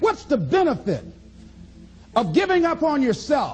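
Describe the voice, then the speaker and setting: A man with an American accent talks at a moderate pace, his pitch swinging very widely. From American, Miami Florida. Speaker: motivational speaker. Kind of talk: motivational speech to an audience. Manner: high-energy, emphatic.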